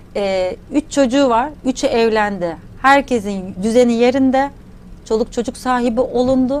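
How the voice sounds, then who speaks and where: Her high pitch shows ordinary variation as the woman talks at a fairly slow pace. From Turkey, Adana; Turkey. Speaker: academic economist and theta healing trainer; theta healing trainer. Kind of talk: interview conversation. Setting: studio. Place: studio. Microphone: lapel.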